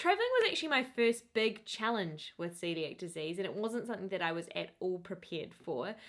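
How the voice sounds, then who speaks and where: With a New Zealand accent, a woman talks at a fairly quick pace with hardly any pauses. Her medium-pitched voice has lively intonation. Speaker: lifestyle vlogger. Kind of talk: casual tips vlog. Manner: animated.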